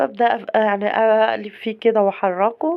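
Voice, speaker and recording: A woman talks at a fairly slow pace in an Egyptian accent. Her voice is fairly high with ordinary pitch variation. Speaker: cooking channel host. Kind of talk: cooking tutorial. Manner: casual, chatty.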